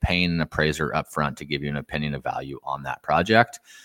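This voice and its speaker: A man with a West Coast accent. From southern Oregon. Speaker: ADU developer and real estate investor. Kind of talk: interview.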